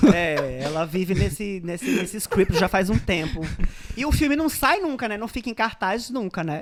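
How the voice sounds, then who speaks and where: A man talks at a moderate pace in a high pitch with very wide pitch swings and an animated tone. Noticeable background noise is present. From Northeast Brazil, Paraíba (Guarabira). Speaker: podcast co-host. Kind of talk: casual comedic chat.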